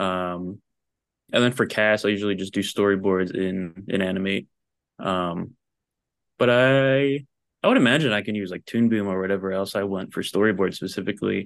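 An ordinary speaking voice in an American accent, with fairly even intonation, a moderate pace, and a quiet background. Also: man, fairly low pitch for a man. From New Jersey. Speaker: animator and story artist. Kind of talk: casual chat.

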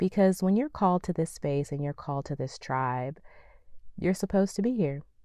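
On a very clean recording with a silent background, a woman speaks at a fairly quick pace with lively intonation and a calm tone. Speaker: podcast host. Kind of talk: motivational talk.

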